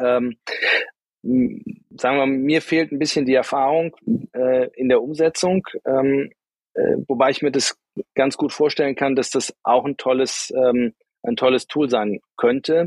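In a dry, close sound with no echo, a man speaks at a medium pitch and a fairly slow pace, leaving long, frequent pauses. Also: fairly even intonation. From Rhineland, Germany. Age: 50s. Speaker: startup founder. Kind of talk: interview. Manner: hesitant, many fillers.

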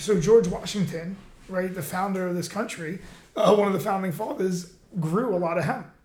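Over noticeable background noise and audible room echo, a man speaks at a moderate pace with high pitch and ordinary pitch variation. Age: 40s. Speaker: podcast host, fighter. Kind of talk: casual chat. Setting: studio.

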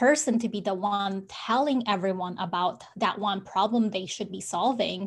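Against a quiet background, a woman talks at a moderate pace in a medium pitch with a somewhat breathy sound. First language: not English. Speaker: business coach. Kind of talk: interview chat.

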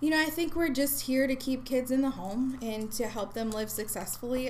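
A woman's fairly high pitch at a fairly quick pace, with noticeable background noise. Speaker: regional supervisor at a youth mental health nonprofit. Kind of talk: casual interview.

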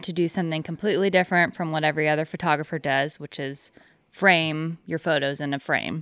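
A woman uses a normal speaking voice with an American accent, fairly low in pitch and with fairly even intonation. The sound is dry and close with no echo, a very clean recording with a silent background. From Northern California. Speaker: river paddleboarder and photographer. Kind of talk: interview. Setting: her house.

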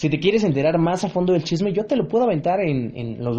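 A man speaks in an animated tone with a Mexican accent at a fairly high pitch. His pitch swings very widely, and his pace is moderate. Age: 20s. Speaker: podcast host. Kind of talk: casual monologue.

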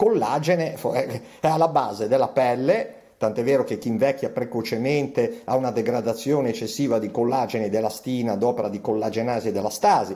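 Here is a man with a plain, everyday voice. His pitch is medium with ordinary variation. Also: fairly quick pace. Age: 60s. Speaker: physician. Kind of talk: interview.

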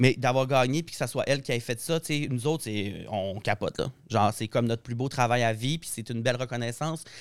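A man's medium-pitched voice at a fairly quick pace, with ordinary pitch variation and big swings in loudness, in a very clean recording with a silent background. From Saguenay, Quebec. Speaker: hairdresser and colorist. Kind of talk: casual chat.

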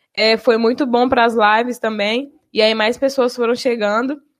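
In a Bahian accent, a woman with a high pitch speaks at a fairly slow pace. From Bahia, Brazil. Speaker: university radio presenter. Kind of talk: casual chat.

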